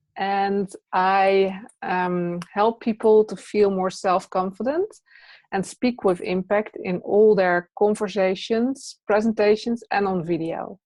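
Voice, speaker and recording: Someone with a Dutch accent speaks at a very slow pace with fairly even intonation. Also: woman, medium pitch for a woman. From Netherlands. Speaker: presence teacher and trainer. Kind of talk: interview.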